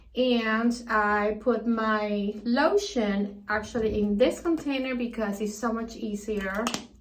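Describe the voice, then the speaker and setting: Audible room echo follows speech delivered at a very slow pace with fairly even intonation. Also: woman. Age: 60s. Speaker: beauty vlogger. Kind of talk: tutorial. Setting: bathroom.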